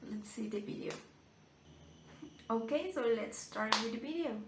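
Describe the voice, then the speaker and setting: The speaker has a strong Colombian accent, ordinary pitch variation and long, frequent pauses. Noticeable background noise and audible room echo fill the recording. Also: woman. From Colombia, Medellin. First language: Spanish. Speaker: YouTuber reacting to videos. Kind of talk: casual video commentary. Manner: hesitant, with fillers.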